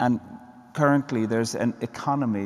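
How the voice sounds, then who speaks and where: Speaking with a medium pitch and fairly level intonation, a man keeps to a moderate tempo. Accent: Irish. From Ireland. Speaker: poet and theologian. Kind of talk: panel conversation. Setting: church with live audience.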